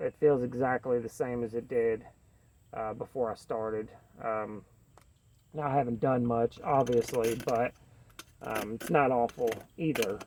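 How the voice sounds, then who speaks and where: Speaking with a Kentucky accent, a man has a dark, mellow tone at a medium pitch. He goes at a fairly slow pace with fairly even intonation and long, frequent pauses. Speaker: knife reviewer. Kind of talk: casual chat. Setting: outdoors. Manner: casual, many fillers.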